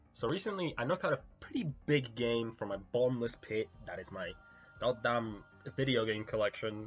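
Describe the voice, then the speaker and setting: Music in the background behind a man at medium pitch, moderate pace, and ordinary pitch variation. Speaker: video game reviewer. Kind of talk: casual talk to camera. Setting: quiet home recording.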